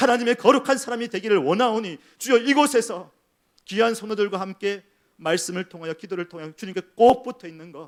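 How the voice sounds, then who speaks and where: A man speaks with an extremely high pitch and ordinary pitch variation. The recording is very clean, with a silent background. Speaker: senior pastor. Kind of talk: sermon. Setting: church. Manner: fast.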